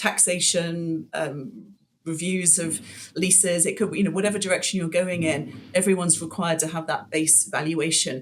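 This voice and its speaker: Speaking at a moderate pace with a British accent, a woman uses a fairly low voice with ordinary pitch variation. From UK. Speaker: commercial real estate broker. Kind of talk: interview. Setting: podcast. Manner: hesitant, many fillers.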